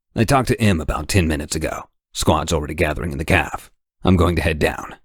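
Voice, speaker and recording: A man puts on a gruff, raspy character voice with a very deep, low pitch. He rattles along at a very fast pace. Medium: read story. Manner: flat, curt, gruff.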